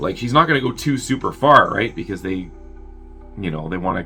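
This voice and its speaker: With music playing in the background, a man talks in very wide pitch swings. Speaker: movie reviewer. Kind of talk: movie plot synopsis. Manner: casual, chatty.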